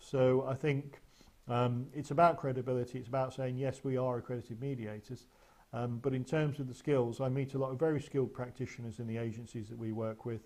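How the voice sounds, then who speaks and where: A man at a fairly quick pace, flat and monotone in intonation. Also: medium pitch for a man. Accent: English. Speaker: mediation trainer. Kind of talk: webinar presentation with Q and A. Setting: online webinar. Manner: fast; hesitant with fillers.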